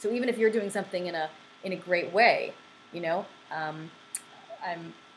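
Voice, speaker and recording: Through noticeable background noise, a woman speaks at a medium pitch. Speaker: relationship coach. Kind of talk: live podcast advice talk. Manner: halting, many fillers.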